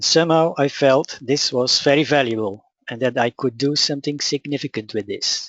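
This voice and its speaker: A man speaks with a Dutch accent. His pitch is fairly high, with ordinary variation. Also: moderate pace. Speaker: spiritual teacher. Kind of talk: webinar presentation. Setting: online webinar.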